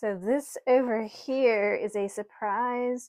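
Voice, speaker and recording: A woman is mumbling with ordinary pitch variation in a very clean recording with a silent background. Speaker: potter, small business owner. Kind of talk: casual talk to camera. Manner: mumbly.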